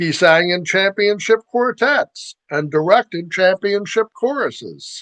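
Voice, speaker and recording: High-pitched male speech at a fairly slow pace, with ordinary pitch variation and a quiet background. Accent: American. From US, Baltimore, Maryland. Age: 60s. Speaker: podcast host. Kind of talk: scripted monologue. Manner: formal.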